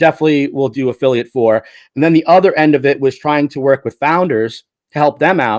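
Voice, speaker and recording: A man's fairly high voice at a fairly quick pace, ordinary pitch variation, dry and close with no echo, on a very clean recording with a silent background. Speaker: YouTube tech reviewer and agency owner. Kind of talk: casual interview chat.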